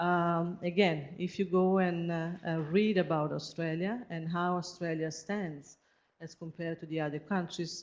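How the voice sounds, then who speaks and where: A woman speaks with an Italian accent at a fairly slow pace. Her pitch sits fairly low, and her intonation is monotone and flat. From Italy. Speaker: researcher. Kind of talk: seminar presentation. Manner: halting.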